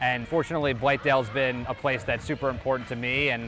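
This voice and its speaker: Over clear background music, a man talks at a fairly quick pace with fairly even intonation, and the sound is dry with no echo. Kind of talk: interview answer. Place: stadium. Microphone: lapel.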